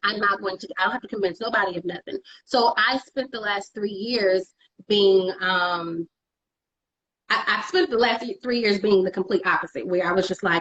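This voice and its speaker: Animated in tone, a woman with an American accent speaks at a medium pitch and moderate pace with ordinary pitch variation. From Texas, Dallas. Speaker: digital media producer. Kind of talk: interview conversation. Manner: loud.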